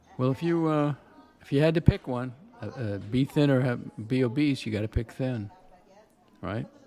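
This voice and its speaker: With music in the background, a man speaks at a moderate pace and medium pitch, using ordinary pitch variation and long, frequent pauses. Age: 70s. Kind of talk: casual chat. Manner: halting.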